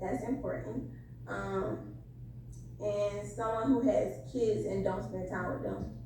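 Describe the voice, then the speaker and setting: A woman talks very slowly, with a fair amount of background noise and clear echo from the room. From Florida (Jacksonville). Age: 20s. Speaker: caller on dating show. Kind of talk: casual call-in chat.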